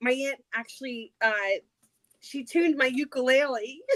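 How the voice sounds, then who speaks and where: Her voice is high-pitched and animated with ordinary pitch variation, recorded as a woman in a dry, close sound with no echo. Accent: slight New Jersey. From New Jersey, Trenton. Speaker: livestream participant, crafter. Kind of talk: casual chat.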